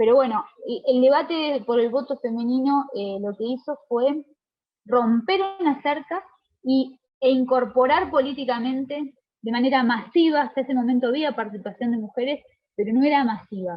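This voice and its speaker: The woman's voice sits high. It rises and falls with ordinary pitch variation. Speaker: lecturer. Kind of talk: lecture. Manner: fast; hesitant, with fillers.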